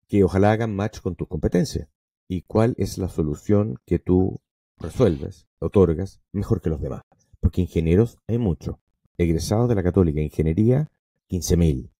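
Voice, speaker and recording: Very deep and low, with a dark, mellow tone, the man's voice moves with lively intonation in a dry, close recording with no echo. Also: moderate pace. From Venezuela, raised in American household; career in Chile. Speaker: entrepreneur and university professor. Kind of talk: interview conversation.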